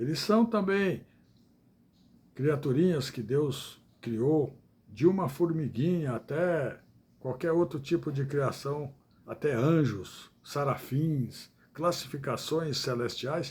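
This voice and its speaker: Somewhat breathy and fairly high-pitched, a man talks at a very slow pace with ordinary pitch variation. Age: 70s. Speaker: evangelical preacher. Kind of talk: livestream sermon. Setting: live stream. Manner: halting.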